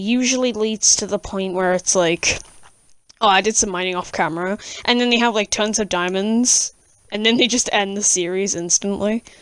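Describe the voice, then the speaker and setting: A woman speaks with a British accent at a medium pitch. Her pitch varies in an ordinary way. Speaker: gaming YouTuber. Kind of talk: gameplay voiceover commentary. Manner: casual, with hesitations.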